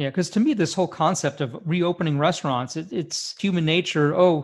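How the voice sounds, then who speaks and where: Ordinary pitch variation marks a normal speaking voice that moves at a moderate pace. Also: man. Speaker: physician co-host. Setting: video call.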